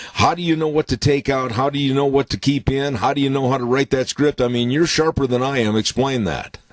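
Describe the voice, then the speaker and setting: A man's voice with a dry, close sound and no echo, plus noticeable background noise. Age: 70s. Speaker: radio host. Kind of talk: radio interview.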